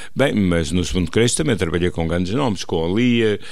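The man's voice is very deep and low, with ordinary pitch variation, in a dry sound with no echo against a quiet background. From Portugal. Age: 70s. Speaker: stage actor and war veteran; radio interview guest. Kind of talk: interview.

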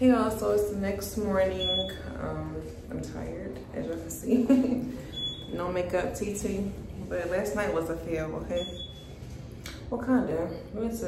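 There is audible room echo and noticeable background noise around this woman's voice. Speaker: vlogger. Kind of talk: casual vlog chat. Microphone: phone near.

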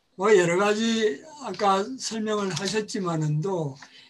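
Very slow speech with ordinary pitch variation over light background noise. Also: man. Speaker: panel discussant. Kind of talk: panel discussion. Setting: video call. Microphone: video call.

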